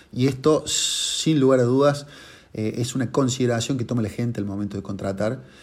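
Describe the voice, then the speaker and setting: A moderate pace with ordinary pitch variation. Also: man, medium pitch for a man. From Argentina, Córdoba. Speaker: consumer-law lawyer. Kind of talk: monologue presentation of a legal case. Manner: hesitant with filler words.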